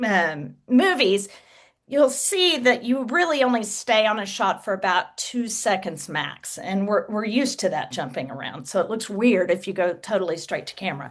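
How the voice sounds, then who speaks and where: A woman with a Texas accent, fairly high pitch and very wide pitch swings. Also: moderate pace, quiet background. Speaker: author and social media creator. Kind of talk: interview.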